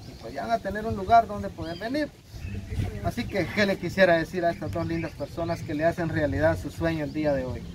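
A man with a fairly high voice talks at a fairly quick pace, his pitch swinging very widely over noticeable background noise. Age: 40s. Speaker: charity video host. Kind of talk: casual chat.

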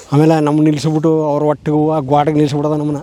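Monotone and flat in intonation, a man speaks at a fairly high pitch. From rural Chamarajanagar district, Karnataka (near Bandipur). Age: 40s. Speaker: villager and helper at a conservationist's forest property. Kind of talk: casual interview.

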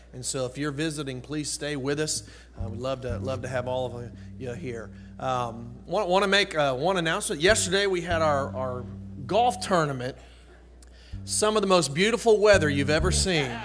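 Clear music can be heard in the background. Over it, a man talks at a moderate speed. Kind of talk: church announcements. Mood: friendly, joking. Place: church. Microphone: podium.

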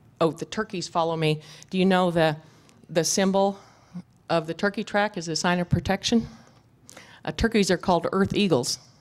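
A woman with an American accent and a fairly low pitch speaks at a moderate pace. Her intonation is fairly even, with long, frequent pauses. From US West (ranch country). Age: 50s. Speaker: goat herder and land restoration expert; conference presenter. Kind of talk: conference talk with slides. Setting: stage with audience. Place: hall.

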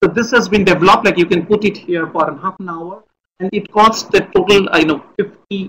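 Against light background noise, a man speaks in a high pitch with fairly even intonation. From India. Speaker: government science advisor; speaker. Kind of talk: lecture. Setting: video call.

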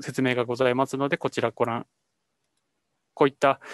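A man talks at a medium pitch. The sound is dry and close with no echo, over a quiet background. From Japan, Iwate Prefecture. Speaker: climate adaptation researcher. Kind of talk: lecture with live demo. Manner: halting, many fillers.

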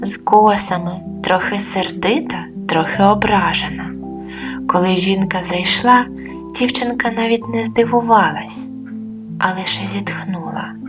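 Music plays behind a woman talking at a very slow pace in a calm, soothing tone. Her intonation is lively. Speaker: storyteller, channel host and author. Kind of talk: sleep story, bedtime story for adults. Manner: calm, soothing, slow.

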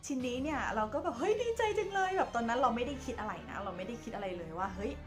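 Clear music plays in the background. A woman speaks at a high pitch with very wide pitch swings. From Thailand, Chachoengsao province. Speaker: lifestyle vlogger, tour guide. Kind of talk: casual ghost-story telling to camera. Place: home room. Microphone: phone near.

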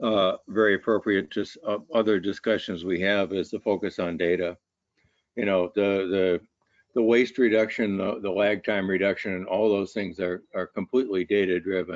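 The man's fairly low voice stays in a monotone, flat intonation, recorded with a dry sound and no echo. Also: quiet background. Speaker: university lecturer and researcher; university lecturer. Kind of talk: webinar discussion. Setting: online webinar. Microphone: video call.

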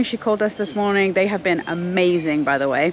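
At a moderate pace, a woman talks with ordinary pitch variation in a dry sound with no echo over light background noise. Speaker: family vlogger. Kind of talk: casual vlog chat. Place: garden. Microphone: phone near.

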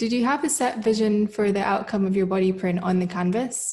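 A woman speaks at a moderate pace with ordinary pitch variation, her tone dark and mellow. Her voice is somewhat breathy against a quiet background. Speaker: gallery moderator. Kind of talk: interview. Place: home room. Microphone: webcam.

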